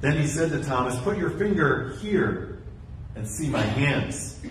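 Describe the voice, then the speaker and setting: A man speaks at a fairly slow pace amid light background noise and audible room echo. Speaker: pastor. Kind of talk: scripture reading. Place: church.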